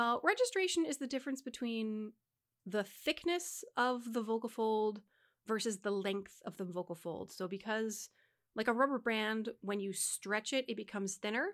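Quietly, a woman with a fairly high pitch talks at a moderate pace with ordinary pitch variation, on a very clean recording with a silent background. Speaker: podcast co-host, singer and choir conductor. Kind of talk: explanatory teaching about voice; casual chat. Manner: consciously modulates volume to talk quieter.

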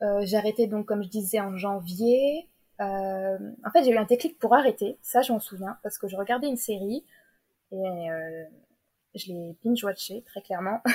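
Speaking at a fairly slow pace, a woman with a medium pitch and a dark, mellow tone shows ordinary pitch variation, big swings in loudness and long, frequent pauses. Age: 20s. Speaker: novelist. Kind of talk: interview.

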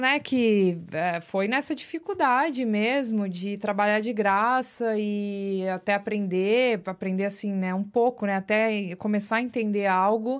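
A woman with a plain, everyday voice speaks at a fairly high pitch and fairly slow pace, with ordinary pitch variation and hardly any pauses. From São Paulo, Brazil (Osasco area). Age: 30s. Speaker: audiovisual producer. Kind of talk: casual interview chat. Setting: studio.

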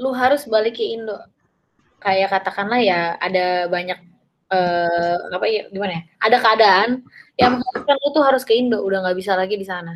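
This woman talks at a fairly quick pace. Her medium pitch has ordinary variation. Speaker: podcast host. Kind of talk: casual interview. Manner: animated.

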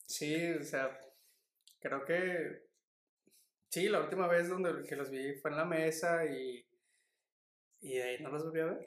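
A man at a very slow pace, with fairly even intonation and long, frequent pauses. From Mexico. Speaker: podcast co-host. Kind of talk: casual chat.

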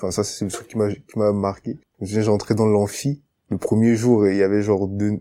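His tone dark and mellow, a man speaks in a fairly low pitch with monotone, flat intonation. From Cameroon, Yaoundé. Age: 20s. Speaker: university student. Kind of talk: testimony interview. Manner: hesitant, repeats words.

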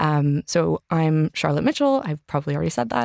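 A woman with a Canadian accent speaks at a moderate pace on a very clean recording with a silent background and a dry, close sound with no echo. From Canada. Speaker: podcast host and urban planner. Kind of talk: casual chat. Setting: studio. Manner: hesitant, many fillers.

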